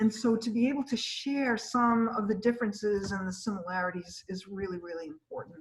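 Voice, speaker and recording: With a normal speaking voice and ordinary pitch variation, a woman talks at a fairly quick pace with hardly any pauses. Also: fairly high pitch for a woman. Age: 60s. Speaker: gallery director hosting artist talks. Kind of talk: casual chat. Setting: video call.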